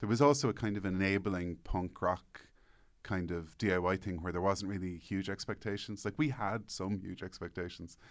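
A man with an Irish accent speaks at a moderate pace and a very deep, low pitch, with ordinary pitch variation. The recording is very clean, with a silent background. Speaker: newspaper columnist and author. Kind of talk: casual interview chat.

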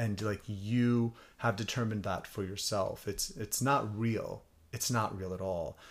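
A man speaks at a fairly slow pace in a normal speaking voice, his pitch fairly low and his intonation fairly even. The recording is very clean, with a silent background. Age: 30s. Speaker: magazine founder and editor. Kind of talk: casual chat.

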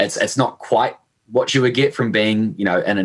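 This man speaks in a New Zealand accent at a medium pitch. His pace is moderate. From New Zealand, Hamilton. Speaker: e-commerce manager at a toy company. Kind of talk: podcast interview. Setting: remote call.

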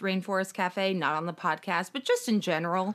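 In a normal speaking voice, a woman talks at a fairly quick pace with medium pitch and fairly even intonation. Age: 30s. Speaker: podcast co-host. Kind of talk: casual chat. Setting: home dining room.

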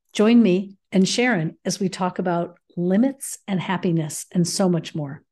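At a fairly slow pace, a woman speaks in a dark, mellow, somewhat breathy voice at medium pitch with ordinary pitch variation. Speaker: podcast host. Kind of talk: interview conversation.

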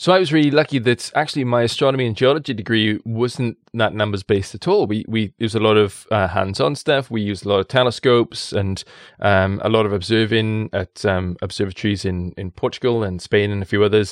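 Over a quiet background, a man with a South Wales accent talks at a fairly quick pace with hardly any pauses, his fairly low pitch showing ordinary variation in a dry, close sound with no echo. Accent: South Wales Valleys. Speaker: science communicator and presenter. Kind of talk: casual interview chat. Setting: studio in Wales.

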